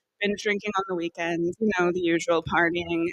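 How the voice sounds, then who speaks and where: A woman's voice in a dry, close sound with no echo. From US east coast (Philadelphia) and Derry, Northern Ireland. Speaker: sobriety group founder, panel guest. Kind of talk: panel discussion, personal testimony.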